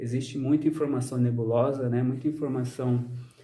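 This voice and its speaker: At a fairly quick pace, a man speaks with medium pitch and fairly even intonation, with audible room echo around him. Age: 30s. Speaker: social scientist and vlogger. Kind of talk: personal vlog monologue. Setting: outdoors in the sun. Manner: frequent fillers, hesitant.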